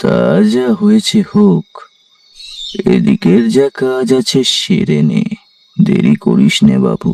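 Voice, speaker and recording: This man puts on a cartoonish character voice, high-pitched and delivered at a fairly slow pace. His loudness stays very even, and the sound is dry and close with no echo. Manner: soft, paternal.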